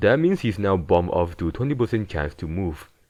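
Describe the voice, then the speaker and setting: A man speaks with a non-native accent and very wide pitch swings. The background is quiet. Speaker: gaming video essayist. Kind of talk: game analysis narration.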